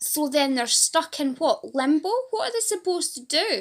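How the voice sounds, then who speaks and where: A woman speaks with a Fife accent. Her intonation is lively. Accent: Fife Scottish. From Scotland, Fife. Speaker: patient advocate and support group leader. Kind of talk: casual vlog to camera.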